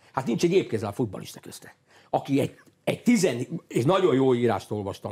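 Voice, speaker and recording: Speaking at a fairly quick pace against a quiet background, a man with a medium pitch and vocal fry makes very wide pitch swings. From Hungary. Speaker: football coach. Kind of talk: studio interview. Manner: animated; halting. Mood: critical, indignant. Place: studio. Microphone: lapel.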